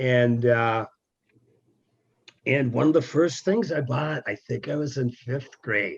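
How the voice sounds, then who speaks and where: This man talks at a fairly slow pace in a medium pitch, his voice somewhat breathy. His pitch variation is ordinary. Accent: American. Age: 60s. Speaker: folk singer-songwriter. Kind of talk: interview.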